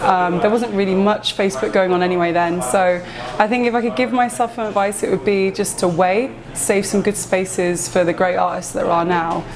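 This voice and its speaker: Against noticeable background noise, a woman with an Essex accent talks at a fairly quick pace, her medium pitch varying in an ordinary way. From England, Essex (Romford, Hornchurch). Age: 30s. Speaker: tattoo artist. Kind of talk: interview. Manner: hesitant, many fillers.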